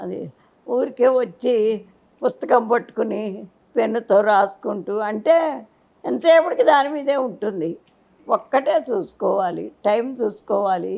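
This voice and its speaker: With a fairly high pitch and some vocal fry, a woman speaks with lively intonation. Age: 80s+. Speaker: spiritual teacher. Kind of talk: interview answer.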